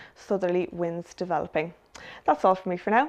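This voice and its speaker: A woman speaks over a quiet background. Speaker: weather forecaster. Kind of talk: weather forecast, scripted and read out as a plain, factual bulletin. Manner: measured, even and businesslike, steady pace. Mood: calm, friendly. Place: studio. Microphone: lapel.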